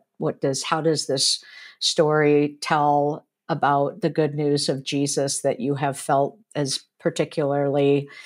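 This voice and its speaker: A woman's voice, very deep and low in pitch. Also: quiet background. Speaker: professor, podcast co-host. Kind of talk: discussion commentary. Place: home room. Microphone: earbuds.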